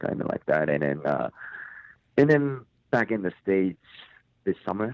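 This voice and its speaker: The speaker is a man with a Japanese accent. His pitch is very deep and low. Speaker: metal band lead singer. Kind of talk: interview. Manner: halting.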